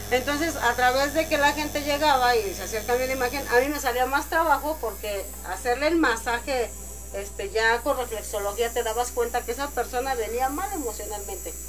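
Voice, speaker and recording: Over noticeable background noise, a woman speaks at a fairly quick pace with a high pitch and ordinary pitch variation. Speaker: hair stylist and massage therapist. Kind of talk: casual chat.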